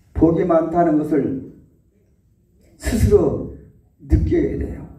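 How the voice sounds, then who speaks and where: A man at a very slow pace amid audible room echo. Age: 80s+. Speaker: Buddhist monk. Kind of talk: dharma talk. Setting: hospital.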